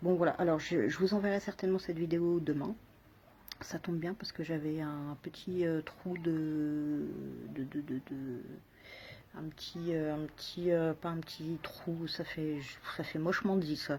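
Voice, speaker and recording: Speaking in a dark, mellow tone, a woman with a fairly low pitch keeps her intonation fairly even and leaves long, frequent pauses. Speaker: video blogger. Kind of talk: casual vlog monologue. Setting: outdoors on a balcony. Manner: soft-spoken; halting, many repetitions.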